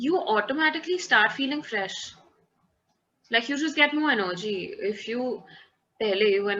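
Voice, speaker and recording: This is a woman speaking. She talks with an Indian accent. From Kolkata, India. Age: 20s. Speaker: event manager. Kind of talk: interview answer. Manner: casual, mixes Hindi phrases.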